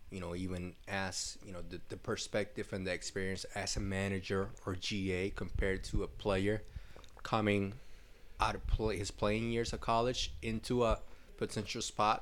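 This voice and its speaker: Here a man speaks at a fairly low pitch. His intonation is flat and monotone. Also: moderate pace. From Puerto Rico. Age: 20s. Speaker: basketball graduate assistant coach. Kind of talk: casual interview.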